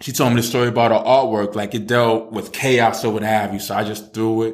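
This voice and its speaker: A man speaks at a medium pitch with a New York accent. His intonation is flat and monotone, and the room echo is audible. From New York City, Brooklyn. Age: 30s. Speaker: author. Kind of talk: casual chat.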